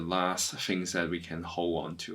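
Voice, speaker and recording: A man is speaking. He goes very slowly. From Hong Kong. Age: 30s. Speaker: activist. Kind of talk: interview. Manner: halting, many fillers.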